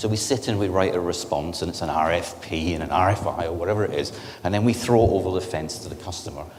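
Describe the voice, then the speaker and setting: With noticeable background noise and audible room echo, a man talks in a Scottish accent. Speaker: technology company director giving industry presentation. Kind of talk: conference presentation.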